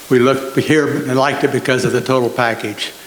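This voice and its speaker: A man with an American accent at a moderate pace, amid noticeable background noise and audible room echo. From Nebraska, US Midwest. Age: 80s+. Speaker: retired farmer, resident. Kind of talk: public comment at meeting.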